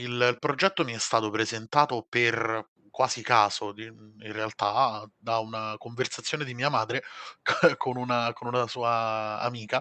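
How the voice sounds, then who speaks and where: A man of medium pitch talks at a fairly slow pace, his intonation fairly even. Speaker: software developer. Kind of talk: interview. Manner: halting.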